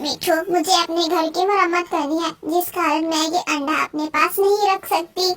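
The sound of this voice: A cartoonish character voice from a woman, squeaky and extremely high in pitch, flat and monotone in intonation, at a moderate pace.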